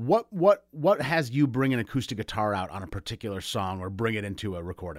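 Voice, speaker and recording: With big swings in loudness and lively intonation, a man in a normal speaking voice and a fairly low pitch talks at a fairly quick pace with hardly any pauses, in a dry, close sound with no echo. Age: 40s. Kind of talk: radio interview. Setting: video call.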